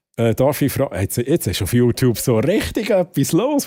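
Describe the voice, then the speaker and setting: A man talks with lively intonation and a dark, mellow tone. The recording is very clean, with a silent background. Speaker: streamer. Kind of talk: live stream chat.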